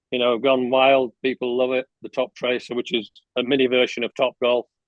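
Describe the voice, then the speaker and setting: A man speaks at a fairly quick pace with an English accent, his medium pitch held in a flat monotone. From England. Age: 70s. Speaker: golf coach. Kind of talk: podcast interview.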